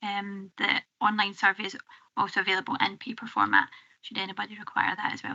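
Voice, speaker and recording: The speaker has a Scottish accent. Vocal fry runs through the voice. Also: woman. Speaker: public health officer. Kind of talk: committee briefing. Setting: council committee room.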